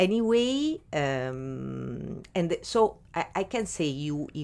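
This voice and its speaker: A woman with an Italian accent speaks in a very deep, low pitch with lively intonation. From Italy. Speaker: art gallery co-founder. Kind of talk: interview. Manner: halting.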